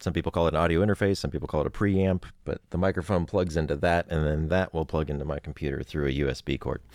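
A man's very deep, low voice with vocal fry, fairly even intonation and a very fast pace, hardly any pauses, in a dry, close sound with no echo. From Oregon, US. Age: 40s. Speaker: voice actor. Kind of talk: casual interview chat. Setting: home closet studio.

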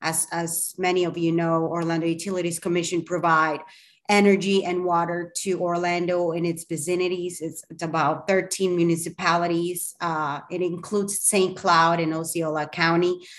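Speaking at a moderate pace with hardly any pauses, a woman with a Spanish accent uses a fairly low pitch and monotone, flat intonation. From Colombia. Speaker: communications professional. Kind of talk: interview.

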